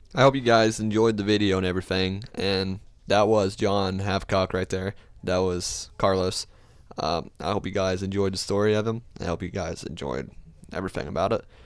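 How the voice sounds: In a very clean recording with a silent background, a man speaks in a low pitch. His tone is clear and smooth, his intonation fairly even, and his pace moderate.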